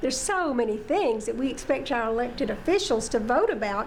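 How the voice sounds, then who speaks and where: A high-pitched woman's voice with audible room echo and noticeable background noise. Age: 70s. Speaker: city council member. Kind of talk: interview.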